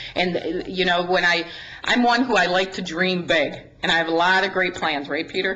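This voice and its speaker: A woman's medium-pitched voice with an American accent, with audible room echo and noticeable background noise. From Wisconsin, Dodge County. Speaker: county sheriff. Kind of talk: presentation to a city council. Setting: council meeting at a podium. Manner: fast.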